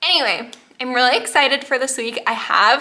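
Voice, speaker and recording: A woman's high-pitched, raised and projected voice with a bright, sharp tone. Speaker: vlogger. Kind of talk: casual vlog update.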